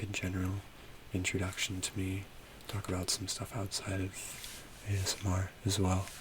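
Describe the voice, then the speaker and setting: Soft-spoken and somewhat breathy, a man talks at a moderate pace in a very deep, low pitch. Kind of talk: ASMR soft-spoken rambling.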